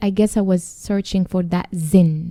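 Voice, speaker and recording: A woman's medium-pitched voice with a non-native accent, dark and mellow in tone, monotone and flat, at a moderate pace, in a dry, close sound with no echo. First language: not English. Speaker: podcast co-host. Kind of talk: casual chat.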